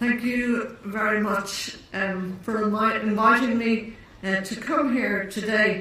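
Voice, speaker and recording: With an Irish accent, a woman speaks at a very slow pace and fairly high pitch, her intonation fairly even. Audible room echo and noticeable background noise surround her. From Ireland. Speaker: neurologist and professor. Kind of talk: conference lecture. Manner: deliberately slowed pace; hesitant, many fillers and restarts.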